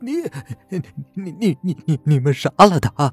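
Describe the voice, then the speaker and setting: Over music in the background, a man puts on a shaky character voice with fairly high pitch and lively intonation. He goes at a fairly slow pace, and the sound is dry and close with no echo. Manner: trembling, frightened.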